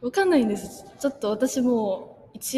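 With noticeable background noise, a woman talks at a moderate pace in a Korean accent. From South Korea. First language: Korean (speaking Japanese). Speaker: language student. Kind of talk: casual interview.

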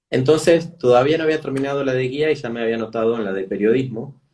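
A man rattles along very fast in a mid-range voice, with a usual amount of pitch movement. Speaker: travel journalist and educator. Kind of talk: interview.

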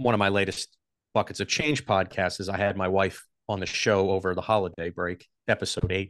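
Against a quiet background with a dry, close sound and no echo, a man with a plain, everyday voice speaks at a moderate pace and a fairly low pitch with fairly even intonation. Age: 40s. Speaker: podcaster and HR professional. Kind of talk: casual interview chat.

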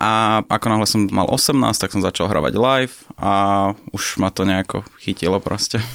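Vocal fry at a very even loudness, with a dry, close sound and no echo. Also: man, fairly low pitch for a man, ordinary pitch variation, moderate pace. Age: 20s. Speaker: professional poker player. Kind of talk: interview.

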